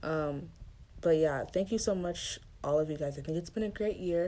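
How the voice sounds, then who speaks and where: A woman's dark, mellow tone with vocal fry and ordinary pitch variation. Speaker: podcast host. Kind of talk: solo podcast monologue. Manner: fast; rushed.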